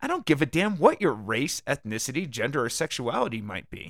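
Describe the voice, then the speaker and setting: His pace is moderate as the man talks. The background is silent and the recording very clean. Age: 50s. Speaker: podcast host and columnist. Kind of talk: casual monologue; reading aloud. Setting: home podcast studio. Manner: halting, many fillers.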